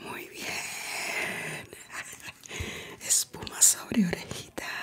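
The speaker is a woman, and she whispers. Every word comes at a very slow pace. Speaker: ASMR creator. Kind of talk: ASMR trigger video. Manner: whispered, soft-spoken. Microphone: studio mic.

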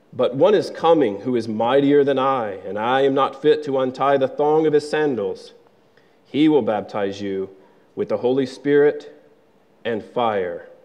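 A plain, everyday voice at a fairly slow pace with ordinary pitch variation. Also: man, fairly high pitch for a man. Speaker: scripture reader. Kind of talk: reading aloud. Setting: church. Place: church.

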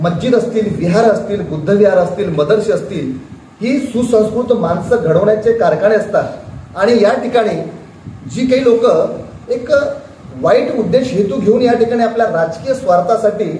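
With very even loudness, a man speaks at a high pitch with ordinary variation, over light background noise and audible room echo. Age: 40s. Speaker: local politician. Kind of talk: press conference statement. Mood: firm, warning tone. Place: home room. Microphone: lapel.

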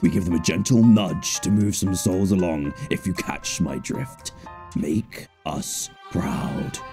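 A man puts on a raspy character voice with a very deep, low pitch. He speaks at a fairly slow pace over music in the background. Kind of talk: reading game dialogue aloud in a character voice. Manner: ominous, playful.

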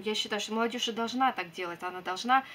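A woman talks at a fairly quick pace and a fairly high pitch. Her pitch variation is ordinary, with light background noise behind her. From Russia. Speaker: beauty vlogger. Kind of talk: casual chat. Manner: relaxed. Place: home room. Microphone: webcam.

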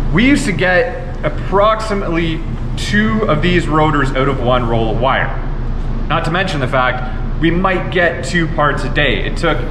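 Over noticeable background noise, a man talks at a high pitch and a moderate pace. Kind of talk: tutorial. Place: workshop.

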